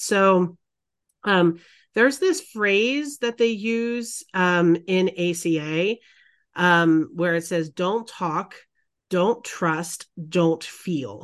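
Against a quiet background, a woman speaks at a very slow pace. Her pitch is medium, with ordinary variation. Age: 40s. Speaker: podcast co-host. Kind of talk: casual chat.

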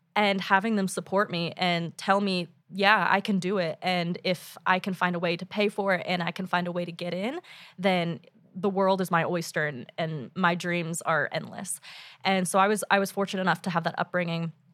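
Speaking with an American accent at a moderate pace, the voice is an unremarkable speaking voice with fairly even intonation. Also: woman, medium pitch for a woman. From Oklahoma, US. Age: 20s. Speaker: graduate student. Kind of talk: interview. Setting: studio.

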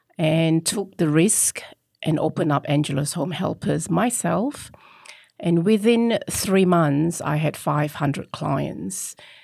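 A woman with fairly low pitch and vocal fry speaks at a very slow pace, her intonation lively. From Singapore. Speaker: business founder. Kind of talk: interview.

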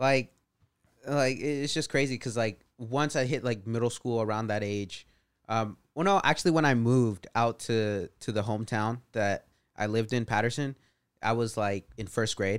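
The speaker is a man with an American accent and a normal speaking voice. His pitch is medium, his pace moderate, his pitch variation ordinary. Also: very clean recording, silent background. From California Central Valley. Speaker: podcast guest. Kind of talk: casual chat.

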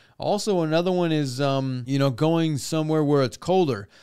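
A man speaks at a moderate pace with ordinary pitch variation and a dark, mellow tone on a very clean recording with a silent background. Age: 30s. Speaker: boat repair educator and show host. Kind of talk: casual Q&A tutorial. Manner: casual, with frequent fillers like um.

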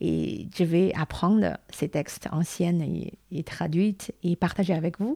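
A woman's fairly low, dark, mellow voice with fairly even intonation, dry and close with no echo, on a very clean recording with a silent background. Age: 40s. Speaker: podcaster on Chinese culture. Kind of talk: casual talk. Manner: halting.

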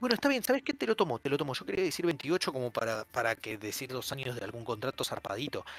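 Very fast speech with lively intonation and a dry, close sound with no echo. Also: man, medium pitch for a man. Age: 20s. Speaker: podcast host. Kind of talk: casual chat. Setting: Discord call.

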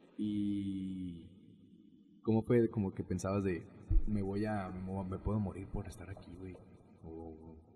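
A man speaks at a very slow pace with long, frequent pauses, his fairly low, somewhat breathy voice carrying a dark, mellow tone, a monotone, flat intonation and big swings in loudness. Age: 20s. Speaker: podcast host. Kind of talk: casual chat.

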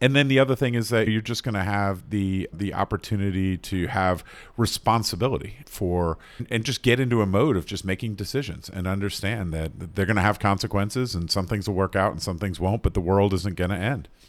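A man with an American accent speaks at a fairly quick pace in an ordinary speaking voice, his pitch fairly low with ordinary variation. The recording is very clean, with a silent background. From North Carolina, US South. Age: 50s. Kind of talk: casual interview conversation.

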